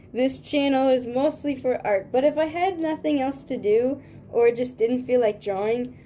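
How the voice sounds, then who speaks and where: With a high pitch and a dark, mellow tone, a woman speaks at a moderate pace with lively intonation. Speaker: artist streamer. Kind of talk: casual livestream chat. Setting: live stream. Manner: stutters often.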